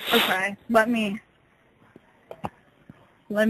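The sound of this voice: A woman speaks at a medium pitch with a fairly bright tone.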